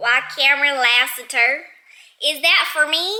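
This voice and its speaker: In a put-on character voice with a strong Southern US accent, a female-sounding voice speaks at a high pitch and moderate pace. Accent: thick southern drawl. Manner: cheesy, saucy, exaggerated.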